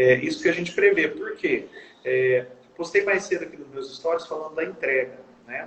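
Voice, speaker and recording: A man talks at a fairly quick pace. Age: 20s. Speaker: accountant, firm owner. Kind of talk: casual interview.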